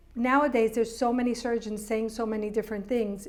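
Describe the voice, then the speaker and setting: Speaking at a fairly quick pace, a woman with an unremarkable speaking voice keeps a fairly high pitch and fairly even intonation. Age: 60s. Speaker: journalist and show producer. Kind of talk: casual chat.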